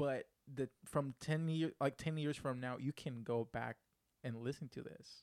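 A man speaks at a fairly high pitch and a fairly slow pace. The sound is dry and close, with no echo. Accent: Spanish. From Puerto Rico. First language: Spanish. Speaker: podcast producer and co-host. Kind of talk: casual chat; news reading. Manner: animated.

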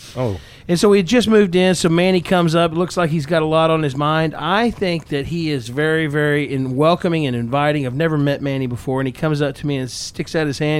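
A man speaks at a very fast pace with an American accent and a fairly high pitch. His tone is animated and his intonation lively. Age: 40s. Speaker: podcast host, construction business owner. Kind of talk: casual chat.

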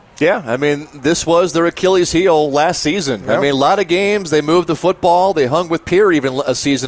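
A man talks in a relaxed tone at a fairly quick pace. Noticeable background noise is present. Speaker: radio color analyst. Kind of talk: live sports color commentary. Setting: stadium press box, radio broadcast. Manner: relaxed, conversational, measured analysis.

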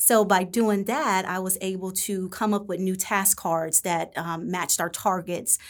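A woman's plain, everyday voice at medium pitch, fairly slow, with fairly even intonation and hardly any pauses. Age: 40s. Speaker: elementary school teacher. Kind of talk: interview.

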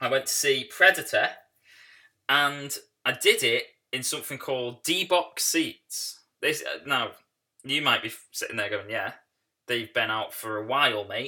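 A man at a fairly slow pace with long, frequent pauses, on a very clean recording with a silent background. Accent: British. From Britain. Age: 30s. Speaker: film podcast host. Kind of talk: casual solo podcast monologue.

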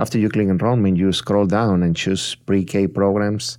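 Moderate-paced speech in a Spanish accent, on a very clean recording with a silent background. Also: man. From Mexico, Tampico, Tamaulipas. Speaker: school district testing coordinator. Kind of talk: interview.

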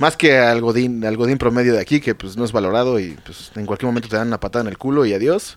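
Speech from a man rushes by at a very fast pace. His volume rises and drops in big swings. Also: medium pitch for a man, ordinary pitch variation, hardly any pauses. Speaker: podcast host. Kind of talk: casual chat.

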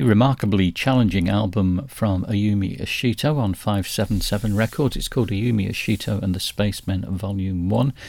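In a plain, everyday voice, a man talks at a moderate pace with fairly low pitch, ordinary pitch variation and hardly any pauses. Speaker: jazz radio host. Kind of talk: radio DJ patter: jazz show intros and back-announcements, reading release notes. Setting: radio studio show, podcast.

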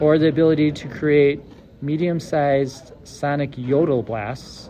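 A man speaks at a fairly slow pace in a fairly high pitch, with noticeable background noise behind him. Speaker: podcast host. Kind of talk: casual chat.

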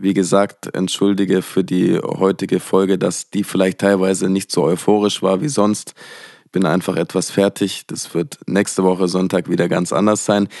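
A man with a very deep, low pitch speaks at a moderate pace. His loudness stays very even, and the sound is dry and close with no echo. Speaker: podcast host and musician. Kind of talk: solo podcast monologue. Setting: at a desk in front of a microphone. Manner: less energetic than usual.

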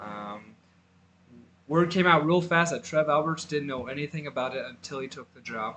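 An ordinary speaking voice, a man with an American accent at a fairly high pitch and moderate pace, with ordinary pitch variation and big swings in loudness. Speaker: podcast host, college football. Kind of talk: casual sports podcast chat.

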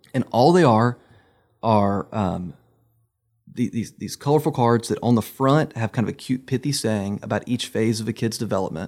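On a very clean recording with a silent background, an ordinary speaking voice moves at a moderate pace. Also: man, medium pitch for a man, ordinary pitch variation. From Virginia. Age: 30s. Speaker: pastor. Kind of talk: casual chat. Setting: studio.

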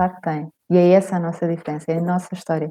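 A woman is speaking. Her tone is dark and mellow. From Portugal, Lisbon area (Cascais). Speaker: writer and journalist. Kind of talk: casual interview chat.

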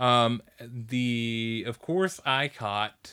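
This man's voice sits at a medium pitch, with a bright, sharp tone and an enthusiastic delivery. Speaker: anime podcast host. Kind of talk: casual chat, review podcast. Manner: enthusiastic, joking.

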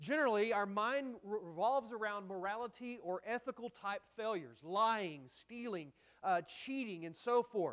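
The speaker has a Texan accent. The pace is moderate. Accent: Texan Southern American. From North Texas (Dallas area). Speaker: pastor. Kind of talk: sermon. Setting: church.

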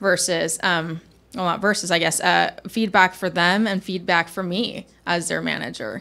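A woman speaks at a fairly low pitch with a bright, sharp tone. Vocal fry runs through her voice. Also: ordinary pitch variation, moderate pace. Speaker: guest with production background. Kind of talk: casual interview chat.

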